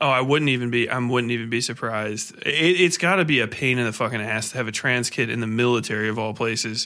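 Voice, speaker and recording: With noticeable background noise, a man talks at a very fast pace with hardly any pauses, his medium pitch showing ordinary variation. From Ohio. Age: 30s. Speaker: podcast host. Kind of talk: casual chat. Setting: home recording, alone at mic.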